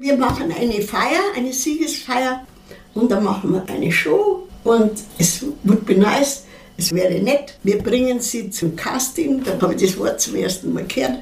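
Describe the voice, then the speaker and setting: A woman's fairly high, lively voice at a fairly slow pace, with audible room echo and noticeable background noise. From Munich, Bavaria. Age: 80s+. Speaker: actress and singer. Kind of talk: interview testimony.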